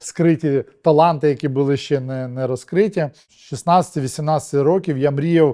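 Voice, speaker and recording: Against a quiet background, a man with a fairly high, dark, mellow voice speaks at a very slow pace with ordinary pitch variation. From Ukraine, Kharkiv. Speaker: TV and film producer. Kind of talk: interview.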